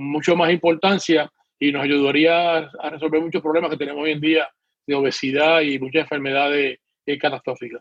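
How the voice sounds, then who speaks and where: Recorded dry and close with no echo, a man with a plain, everyday voice talks at a moderate pace, fairly high in pitch with fairly even intonation. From Puerto Rico. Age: 60s. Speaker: retired PE teacher and swim coach. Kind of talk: political panel discussion. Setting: video call.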